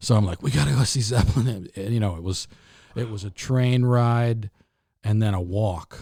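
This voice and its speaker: A man with an American accent speaks at a moderate pace in a fairly low pitch, his tone dark and mellow. His voice is somewhat breathy, with ordinary pitch variation. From New England, mostly Connecticut. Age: 60s. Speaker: drummer. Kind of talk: casual interview chat. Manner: halting, many restarts.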